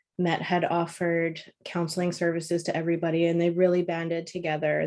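With a Canadian accent, a woman uses a normal speaking voice at fairly low pitch and a fairly quick pace. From Toronto, Ontario, Canada. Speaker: print sales account executive. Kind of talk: interview.

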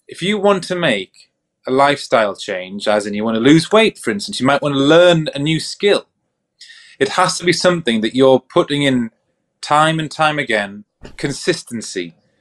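Very wide pitch swings in a dry, close sound with no echo. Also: man, fairly high pitch for a man, moderate pace. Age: 30s. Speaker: mental health professional and podcast co-host. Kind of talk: casual chat.

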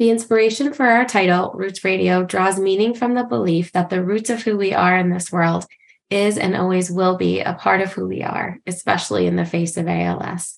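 The woman has an unremarkable speaking voice. Her pitch is medium, with ordinary variation. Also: moderate pace. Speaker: podcast co-host, social worker. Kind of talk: casual interview chat.

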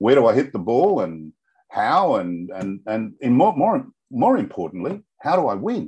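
A medium-pitched man speaks with vocal fry and very wide pitch swings over a quiet background. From Australia. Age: 70s. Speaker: author, semi-retired businessman. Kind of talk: casual interview.

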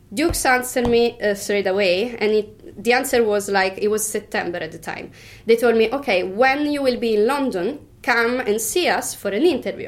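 A woman's fairly high-pitched voice with an Italian accent. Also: ordinary pitch variation, moderate pace. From Italy, Tuscany. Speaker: bartender. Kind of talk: interview. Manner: halting.

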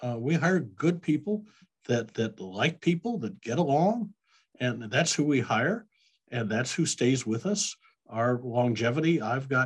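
A man with an American accent speaks fairly slowly in a somewhat breathy, medium-pitched voice with lively intonation and long, frequent pauses. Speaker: payroll company president, Marine veteran. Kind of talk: interview. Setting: video call.

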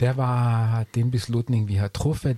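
Somewhat breathy and dark, mellow in tone, a man speaks at a very slow pace with a German accent. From Germany. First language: German (speaking Danish). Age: 40s. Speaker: podcast guest, expat. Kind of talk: casual interview. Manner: halting.

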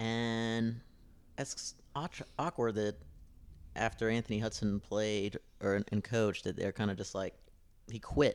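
A man with a Midwestern American accent talks at a fairly slow pace, leaving long, frequent pauses. His pitch is medium, with ordinary pitch variation. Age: 30s. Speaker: soccer podcast co-host. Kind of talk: casual chat.

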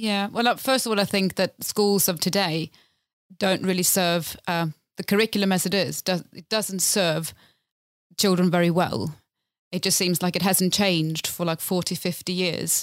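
A woman with a Swedish accent speaks with fairly even intonation. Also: medium pitch for a woman, moderate pace. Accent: Swedish-tinged English. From Sweden, Lapland. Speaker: community theatre director. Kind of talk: casual chat.

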